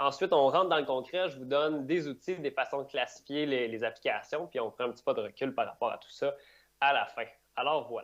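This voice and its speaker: This man has a strong Quebec accent and a fairly high pitch, with ordinary pitch variation. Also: fairly quick pace. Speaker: digital operations director, conference speaker. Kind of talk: conference talk. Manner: fast.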